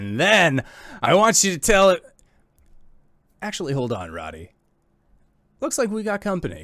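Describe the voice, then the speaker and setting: A man does a gruff, put-on character voice at a high pitch and a moderate pace, with long, frequent pauses. The recording is very clean, with a silent background. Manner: acted game-master character voice.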